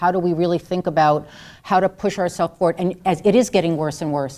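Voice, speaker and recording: Speaking very fast with an American accent, a woman has a dark, mellow tone and a fairly low pitch. The recording is very clean, with a silent background. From US South. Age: 60s. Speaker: activist and speaker. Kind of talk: Q&A answer at a public talk. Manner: animated, conversational.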